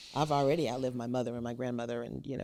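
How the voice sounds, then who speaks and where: Very deep and low, a woman's voice carries a dark, mellow tone, vocal fry, and fairly even intonation. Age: 60s. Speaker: podcast host. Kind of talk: interview conversation.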